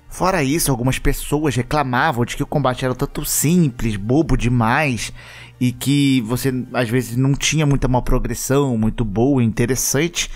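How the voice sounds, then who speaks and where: A man speaks with a Brazilian accent at a moderate pace. His pitch is medium, with ordinary variation. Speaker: gaming youtuber. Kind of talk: casual commentary. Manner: animated.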